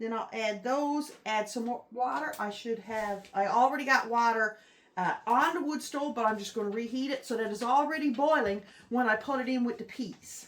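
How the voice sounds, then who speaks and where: In a relaxed tone, a woman speaks at a high pitch with ordinary pitch variation. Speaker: home cook. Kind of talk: casual cooking talk to camera. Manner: relaxed, homely.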